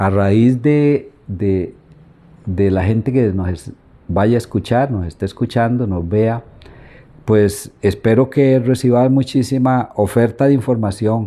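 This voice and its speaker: Very slow speech comes from a man whose tone is dark and mellow. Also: medium pitch for a man, ordinary pitch variation. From Costa Rica, Santo Domingo de Heredia. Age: 70s. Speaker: local elder and history informant. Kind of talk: interview about local history. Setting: at his home.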